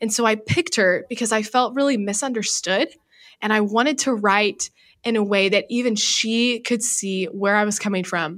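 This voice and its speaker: In an unremarkable speaking voice, a woman speaks at a moderate pace with a fairly high pitch and ordinary pitch variation, in a very clean recording with a silent background. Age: 20s. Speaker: author and college student. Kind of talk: interview.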